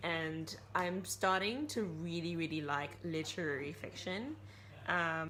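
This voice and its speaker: A woman with a fairly low pitch, a bright, sharp tone and vocal fry speaks at a fairly slow pace with lively intonation amid audible room echo. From Malaysia. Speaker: book vlogger. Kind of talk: casual vlog talk.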